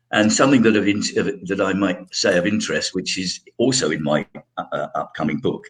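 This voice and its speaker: This man talks at a moderate pace with a British RP accent. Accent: British RP-leaning, trained elocution. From London, England. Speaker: actor. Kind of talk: interview. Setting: live broadcast. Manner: halting.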